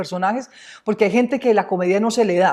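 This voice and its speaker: Strong Antioquian accent from a woman, dark and mellow in tone, fairly high in pitch with ordinary pitch variation, at a very fast pace. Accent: strong paisa. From Colombia, Medellín (paisa). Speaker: actress. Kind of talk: interview.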